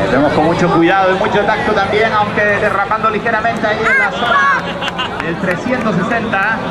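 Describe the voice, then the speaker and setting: The speaker goes at a fairly slow pace with hardly any pauses while crowd noise rises in the background. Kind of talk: live rally commentary. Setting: outdoors at rally stage with crowd applause.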